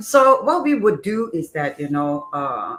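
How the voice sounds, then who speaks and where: A woman's pitch swings very widely. Behind her, music plays. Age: 60s. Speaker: beauty clinic founder. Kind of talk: casual interview. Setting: live stream, standing.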